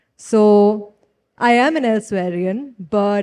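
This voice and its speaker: A woman with an Indian accent, a medium pitch, a dark, mellow tone and fairly even intonation. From India, Kerala (Trivandrum). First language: Tulu. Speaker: writer. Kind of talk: festival panel conversation. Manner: casual, conversational.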